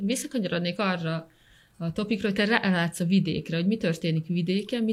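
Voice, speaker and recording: A woman's fairly low, somewhat breathy voice at a fairly quick pace, with ordinary pitch variation. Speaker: podcast co-host. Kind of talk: interview. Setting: studio.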